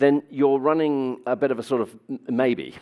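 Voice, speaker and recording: A man with a British accent is heard on a very clean recording with a silent background. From Britain. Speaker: business executive. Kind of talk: conference talk. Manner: hesitant with fillers.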